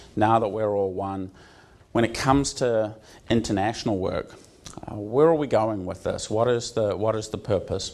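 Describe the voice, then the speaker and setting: A man with a New Zealand accent talks in a fairly even intonation. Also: medium pitch for a man, moderate pace. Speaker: university associate dean. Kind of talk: conference talk. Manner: many filler words (um, uh).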